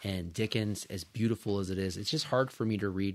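With an American accent and an ordinary speaking voice, a man talks at a fairly quick pace and fairly low pitch, varying it in an ordinary way, on a very clean recording with a silent background. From California Central Coast. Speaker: physical therapist. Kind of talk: casual chat.

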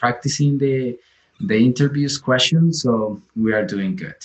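This is a man with a Colombian accent. His pitch sits in the medium range. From Colombia, Santander. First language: Spanish. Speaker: physician applying for residency. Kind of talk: interview. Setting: video call. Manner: halting.

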